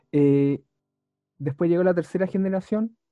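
This is an ordinary speaking voice. It moves at a fairly quick pace. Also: man. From Chile, Talca. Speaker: competitive Pokémon player. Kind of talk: casual interview.

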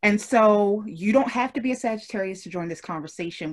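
A somewhat breathy woman at medium pitch and moderate pace, with lively intonation. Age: 30s. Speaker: podcast host. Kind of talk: casual chat. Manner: animated.

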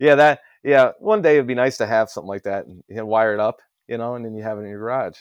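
With a Midwestern American accent, a man talks at a very fast pace with big swings in loudness against a quiet background. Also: medium pitch for a man, ordinary pitch variation. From US Midwest, Ohio. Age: 30s. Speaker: industrial refrigeration technician. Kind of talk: casual chat.

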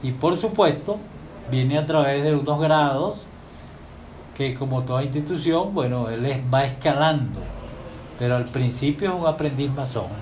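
With audible room echo, a man speaks at a fairly slow pace, showing ordinary pitch variation and taking long, frequent pauses. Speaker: masonic lodge master and radio host. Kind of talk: radio talk. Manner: formal.

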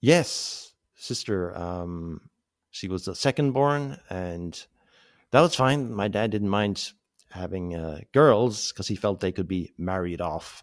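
Very slowly, a man speaks with a Cork accent and lively intonation. His voice is fairly low, on a very clean recording with a silent background. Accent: Cork Irish. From North Cork, Ireland. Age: 40s. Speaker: abuse survivor. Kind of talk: personal testimony. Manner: halting.

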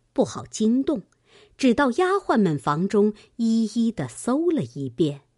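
An unforced reading voice carries the words.

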